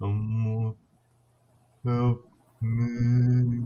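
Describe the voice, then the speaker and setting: A man puts on a character voice at a medium pitch. The intonation is monotone and flat. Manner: slow.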